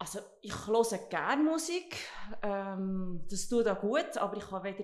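At a fairly slow pace, a woman with an unremarkable speaking voice talks at a fairly high pitch. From central Switzerland (Obwalden). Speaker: director of a training campus and hotel. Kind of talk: podcast interview.

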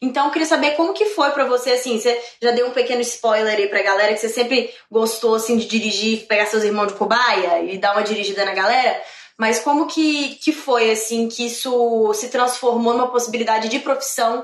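A woman talks at a fairly quick pace and fairly high pitch with ordinary pitch variation, amid noticeable background noise and audible room echo. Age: 20s. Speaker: actress and podcast host. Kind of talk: casual interview chat. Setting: live stream. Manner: animated.

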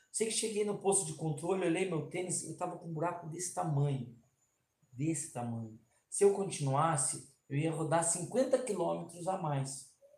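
A man talks at a moderate pace in a high pitch with ordinary pitch variation. Audible room echo surrounds his voice. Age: 40s. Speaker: trail runner and race safety team chief. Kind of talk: casual interview. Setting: live stream.

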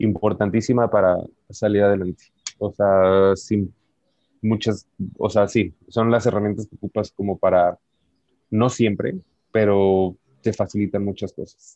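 A man with a Mexican accent speaks in a monotone, flat way at a fairly low pitch, with a dark, mellow tone, a fairly slow pace, long, frequent pauses, and a dry, close sound with no echo. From Mexico, Michoacán. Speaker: former university classmate, emigrant to Canada. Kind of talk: casual interview.

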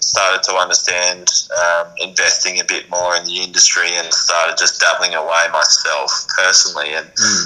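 At a moderate pace, a man with an Australian accent speaks over noticeable background noise. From South Australia (Naracoorte, country). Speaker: ex-professional footballer and fund manager. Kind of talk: casual interview.

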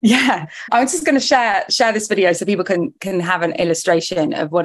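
With an ordinary speaking voice, a woman talks at a moderate pace and a medium pitch, her intonation lively. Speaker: podcast host. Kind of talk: interview.

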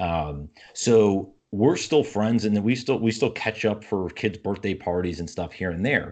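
A man with a normal speaking voice, fairly low in pitch, in an American accent, at a fairly slow pace, with ordinary pitch variation, hardly any pauses and a quiet background. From upstate New York. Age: 30s. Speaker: entrepreneur and podcaster. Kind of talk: casual interview conversation.

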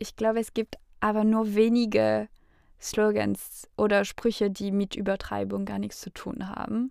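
On a very clean recording with a silent background, a woman talks at a fairly slow pace in a fairly high voice. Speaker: podcast co-host. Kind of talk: academic discussion.

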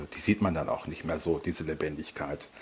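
Ordinary pitch variation in a somewhat breathy man's voice. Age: 50s. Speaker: psychologist. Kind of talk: interview. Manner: hesitant, many fillers.

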